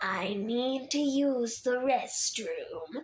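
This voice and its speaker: A female-sounding voice goes high in a put-on character voice. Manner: flat, rehearsed.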